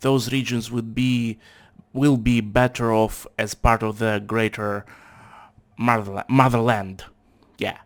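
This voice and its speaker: This man speaks at a fairly slow pace with a medium pitch, a monotone, flat intonation, and long, frequent pauses. The recording is very clean, with a silent background. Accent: Russian. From Russia. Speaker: factory worker, channel owner. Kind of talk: casual political discussion. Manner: halting.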